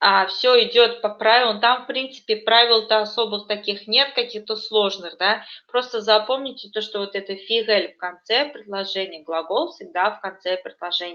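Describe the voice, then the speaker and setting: Speaking at a moderate pace, a woman with a fairly high pitch and ordinary pitch variation has an unremarkable speaking voice. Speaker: language teacher. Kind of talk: online lesson.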